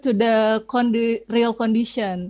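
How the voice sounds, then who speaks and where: Speaking very slowly with a non-native accent, a woman has a fairly high pitch and a dark, mellow tone. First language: Indonesian. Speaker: conference presenter. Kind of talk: Q&A answer. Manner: halting, many fillers.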